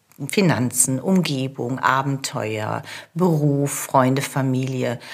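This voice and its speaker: A woman's voice over noticeable background noise. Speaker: coach and podcast host. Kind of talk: solo coaching podcast.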